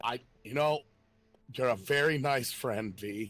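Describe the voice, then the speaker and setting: A man's raspy, put-on character voice at medium pitch, fairly slow in pace, with music in the background. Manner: nervous, hesitant.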